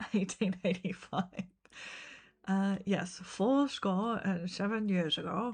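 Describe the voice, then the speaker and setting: A somewhat breathy woman at a very slow pace, with fairly even intonation and very even loudness, against a quiet background. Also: medium pitch for a woman. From Australia. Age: 30s. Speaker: gaming streamer and teacher. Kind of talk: casual live-stream chat. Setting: live stream.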